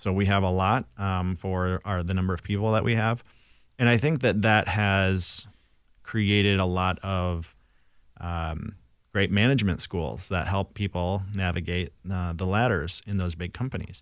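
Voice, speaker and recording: This very clean recording has a silent background. A man with an Upper Midwest accent speaks at a moderate pace, his very deep, low voice in fairly even intonation. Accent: Upper Midwest American. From Saint Paul, Minnesota. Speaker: filmmaker and tech worker. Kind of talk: casual chat.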